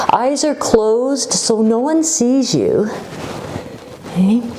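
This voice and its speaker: Over noticeable background noise, a woman with a high pitch speaks very slowly in a calm, soothing tone with ordinary pitch variation. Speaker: yoga instructor. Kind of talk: guided yoga class instruction. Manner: calm, slow, soothing.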